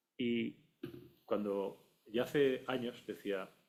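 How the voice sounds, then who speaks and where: Here a man speaks at a medium pitch. He has an unremarkable speaking voice. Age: 60s. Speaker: audience member, industrial engineer. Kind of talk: audience question.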